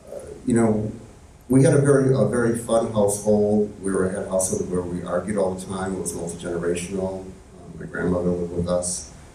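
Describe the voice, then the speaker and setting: Very fast speech with big swings in loudness comes through audible room echo and noticeable background noise. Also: man, very deep, low pitch for a man, ordinary pitch variation. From Chicago suburbs, US. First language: Italian. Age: 50s. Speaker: community leader, LGBT history activist. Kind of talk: on-stage interview. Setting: stage with live audience. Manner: hesitant, many fillers.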